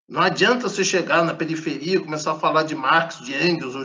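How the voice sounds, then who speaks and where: A man talks at a fairly quick pace in a high pitch. His tone is bright and sharp. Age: 60s. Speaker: professor of Buddhist philosophy. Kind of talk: interview.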